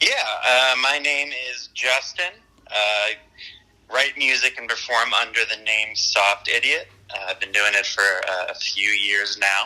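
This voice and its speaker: A man with a medium pitch talks fairly slowly, varying his pitch in an ordinary way, amid noticeable background noise. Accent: American. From eastern Pennsylvania, Lehigh Valley. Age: 20s. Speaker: indie musician. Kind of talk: interview. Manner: hesitant, many fillers.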